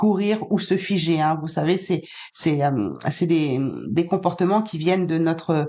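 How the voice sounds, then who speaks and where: Her pitch fairly low with ordinary variation, a woman speaks at a very slow pace. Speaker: spiritual guidance channel host, card reader. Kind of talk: tarot-style card reading guidance to viewers. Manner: hesitant, many fillers.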